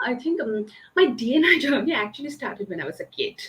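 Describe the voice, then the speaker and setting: Speaking in a Bengali accent, a woman with a high pitch makes very wide pitch swings amid noticeable background noise. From eastern India. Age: 30s. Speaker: diversity and inclusion consultant. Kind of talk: interview conversation. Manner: halting, many fillers.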